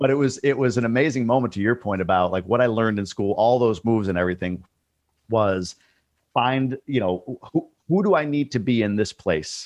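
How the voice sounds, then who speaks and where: Ordinary pitch variation and a fairly quick pace from a man at medium pitch. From New York state. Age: 40s. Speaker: multifamily investor and course creator. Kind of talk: casual interview chat.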